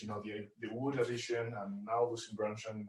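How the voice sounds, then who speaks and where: Somewhat breathy, a man speaks with a Spanish accent. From Spain. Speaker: caller. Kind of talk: casual call-in chat. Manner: halting, many fillers.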